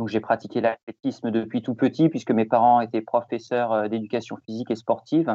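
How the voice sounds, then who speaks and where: Hardly pausing, a man of medium pitch talks at a fairly quick pace with fairly even intonation. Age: 40s. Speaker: ultra-trail runner. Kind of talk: interview. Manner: hesitant, many repetitions.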